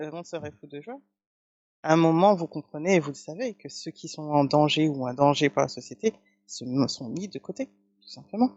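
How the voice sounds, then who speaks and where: A man's fairly high voice with lively intonation, big swings in loudness, a moderate pace and long, frequent pauses. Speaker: spiritual practitioner, channeling messages from guides. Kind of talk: channeled spiritual message, calm guided talk.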